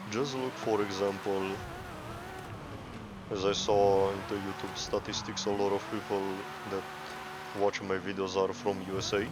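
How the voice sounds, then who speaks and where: In a room with audible echo and noticeable background noise, a man with a fairly low voice and a non-native accent speaks in a monotone, flat way at a moderate pace, with long, frequent pauses. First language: not English. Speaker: gaming YouTuber. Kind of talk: casual monologue over gameplay. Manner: halting, self-correcting.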